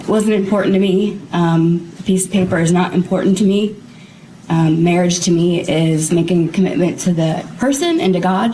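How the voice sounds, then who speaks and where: Soft-spoken and fairly even in intonation, a woman speaks at a moderate pace amid audible room echo and noticeable background noise. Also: medium pitch for a woman. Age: 30s. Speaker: interviewee in police interview. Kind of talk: police interview. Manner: halting.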